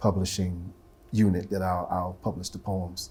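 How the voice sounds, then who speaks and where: Somewhat breathy and very deep in pitch, a man with an American accent speaks at a moderate pace. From US Midwest (Ohio). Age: 60s. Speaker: poet and teacher. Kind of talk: interview. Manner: halting.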